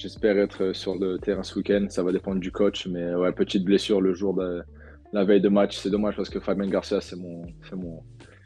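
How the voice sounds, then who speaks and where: A man's very deep, low-pitched voice in a monotone, flat intonation, with music in the background. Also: fairly quick pace. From southern France (Cannes area). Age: 20s. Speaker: professional football goalkeeper. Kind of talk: interview. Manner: hesitant, many fillers.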